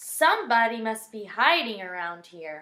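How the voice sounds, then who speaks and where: A woman uses a put-on character voice. It sits at a fairly high pitch. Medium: read story.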